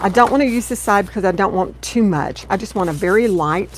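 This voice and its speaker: Noticeable background noise sits behind a woman with an American accent at a medium pitch. She keeps a moderate pace with ordinary pitch variation. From US South (Texas, Louisiana). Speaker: craft video creator. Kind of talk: craft tutorial livestream. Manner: chatty, warm.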